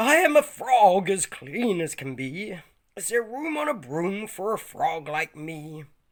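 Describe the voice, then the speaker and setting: This put-on character voice is croaky, at a middle pitch with very wide pitch swings and a fairly slow pace. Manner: polite, friendly.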